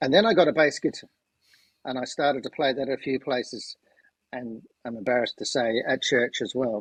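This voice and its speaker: The sound is dry and close, with no echo. Delivery is at a moderate pace with ordinary pitch variation. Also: man. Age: 60s. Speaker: amateur musician and corporate change agent. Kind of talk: casual chat.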